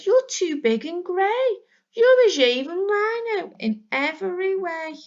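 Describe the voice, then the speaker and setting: A squeaky, put-on character voice swings very widely in pitch. It moves at a fairly slow pace. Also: woman, extremely high pitch for a woman. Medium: read story.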